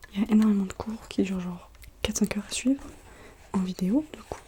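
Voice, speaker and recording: Soft-spoken at a moderate pace, the voice shows ordinary pitch variation, with noticeable background noise behind it. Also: woman. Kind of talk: casual talk to camera.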